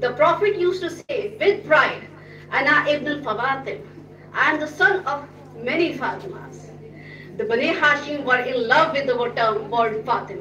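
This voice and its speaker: A woman speaks high and raised, projecting at a moderate pace with lively intonation. The room echoes audibly, and there is light background noise. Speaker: religious speaker; speaker. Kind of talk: speech. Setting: stage with audience. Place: hall.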